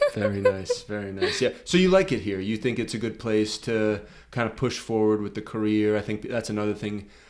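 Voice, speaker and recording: A man with a Boston accent talks at a fairly quick pace in a fairly low pitch, with fairly even intonation and hardly any pauses. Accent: Boston American. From Boston, Massachusetts. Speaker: podcast host, filmmaker. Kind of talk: casual interview. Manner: halting, many fillers and restarts.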